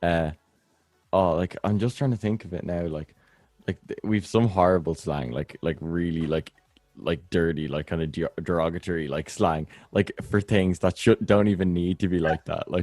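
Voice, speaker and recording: In a dry, close sound with no echo, a man with an Irish accent speaks at a very deep, low pitch. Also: ordinary pitch variation. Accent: normal Irish. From Ireland. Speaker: podcast host. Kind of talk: casual chat. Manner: fast.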